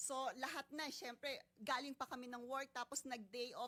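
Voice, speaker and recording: Here a woman speaks at a high pitch and a fairly quick pace. Her tone is bright and sharp. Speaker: complainant, overseas worker. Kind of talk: testimony.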